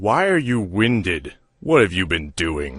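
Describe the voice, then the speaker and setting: A man's put-on character voice, growling and very deep and low, with very wide pitch swings at a fairly slow pace. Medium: audio drama. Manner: cold, curt.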